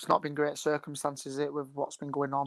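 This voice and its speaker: Recorded very cleanly with a silent background, a man with a Lancashire accent talks fairly quickly in a fairly high pitch. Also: dry, close sound with no echo. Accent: Bolton, Lancashire. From northern England, Bolton. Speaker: professional footballer. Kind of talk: interview.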